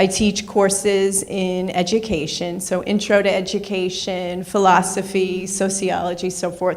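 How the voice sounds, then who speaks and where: A woman talks at a fairly slow pace with hardly any pauses, her medium-pitched voice held in a monotone, flat intonation. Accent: New York. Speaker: professor. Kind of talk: lecture.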